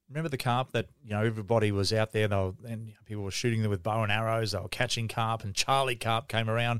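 A man speaks with an Australian accent. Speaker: fishing podcast host. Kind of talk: casual interview.

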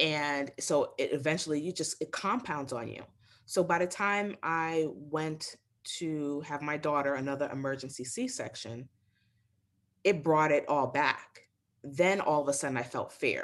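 Speaking at a fairly slow pace with an American accent, a woman has a very deep, low pitch and ordinary pitch variation. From New York City. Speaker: business strategist and mother. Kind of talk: interview, personal birth story.

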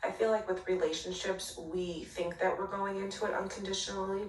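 Noticeable background noise accompanies a woman talking at a medium pitch. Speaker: fan sending voice note. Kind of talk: recorded voice note.

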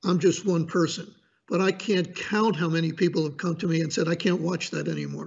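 This man's voice sits high in pitch, moving at a fairly quick pace with fairly even intonation. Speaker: media commentator. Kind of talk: political commentary interview. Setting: remote from North Carolina mountains.

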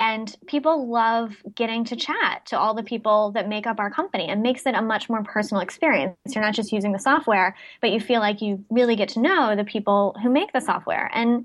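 Someone with an ordinary speaking voice talks at a fairly quick pace. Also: woman. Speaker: social media marketing expert. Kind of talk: casual interview chat.

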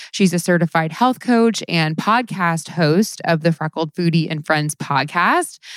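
Very clean with a silent background and a dry, close sound with no echo, this recording has a woman with an unremarkable speaking voice talking at a fairly low pitch and a moderate pace with ordinary pitch variation. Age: 30s. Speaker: podcast host and comedy writer. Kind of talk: casual comedic interview.

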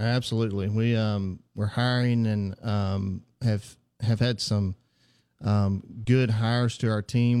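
A man's fairly slow, monotone, flat speech with a Southern US accent, medium pitch and a dark, mellow tone on a very clean recording with a silent background. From Mississippi. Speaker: physical therapist. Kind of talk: radio interview. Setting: studio. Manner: halting, many fillers.

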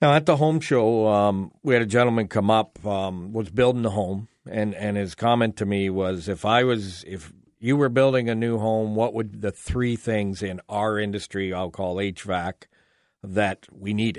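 In a normal speaking voice, a man talks at a moderate pace, his pitch fairly low with ordinary variation. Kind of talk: radio dj patter: upbeat call-in show host plugging phone numbers, giveaways and sign-offs. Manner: friendly, chatty and fluent, with frequent 'uh' fillers and repeated promos; joking, easy banter with his co-host.

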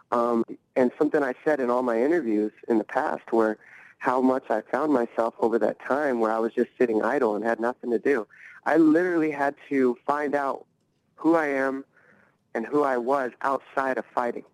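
A man talks at a moderate pace in an ordinary speaking voice with ordinary pitch variation, and the sound is dry and close with no echo. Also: medium pitch for a man. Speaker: fighter and coach. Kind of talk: casual interview. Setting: video call.

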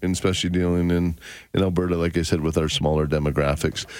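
This man speaks with a Canadian accent. His very deep, low voice keeps fairly even intonation. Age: 50s. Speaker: radio gardening show host, garden center owner. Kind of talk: call-in radio chat.

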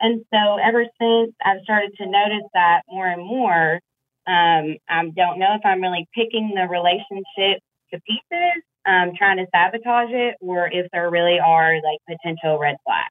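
An unremarkable speaking voice goes at a fairly slow pace. Its pitch varies in an ordinary way. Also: woman, medium pitch for a woman. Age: 30s. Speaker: caller seeking dating advice. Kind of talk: casual chat. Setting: phone call.

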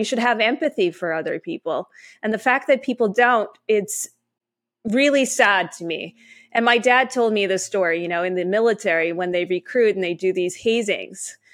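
This woman has an ordinary speaking voice, fairly high in pitch, with ordinary pitch variation at a moderate pace. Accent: Canadian. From Canada. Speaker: author. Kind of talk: interview.

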